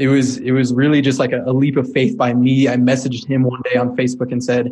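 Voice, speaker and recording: A medium-pitched man's voice in an American accent, dark and mellow in tone, monotone and flat, at a fairly quick pace. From Colorado. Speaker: entrepreneur. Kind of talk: interview.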